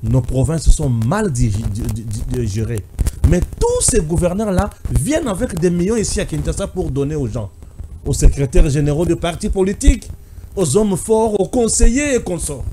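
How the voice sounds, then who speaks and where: The voice makes very wide pitch swings over light background noise. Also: man, high pitch for a man. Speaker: political commentator. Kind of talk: public address speech. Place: studio. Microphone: studio mic.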